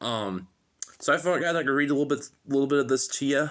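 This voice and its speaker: A man's bright, sharp tone with ordinary pitch variation, in a very clean recording with a silent background. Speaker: self-help book reader, content creator. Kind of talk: casual chat; reading aloud. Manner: halting, many fillers.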